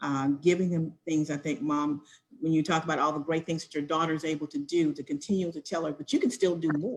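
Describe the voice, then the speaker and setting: At a very fast pace, a woman speaks with fairly even intonation and big swings in loudness. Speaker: educator, panelist. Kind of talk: panel discussion on livestream. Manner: passionate, loud teaching voice; hesitant, many fillers.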